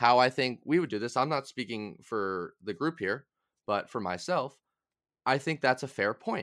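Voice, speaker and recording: An unremarkable speaking voice: a man with an American accent, medium pitch and lively intonation at a moderate pace. The recording is very clean, with a silent background. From Massachusetts. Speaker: podcast host, student political organizer. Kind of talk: casual political discussion.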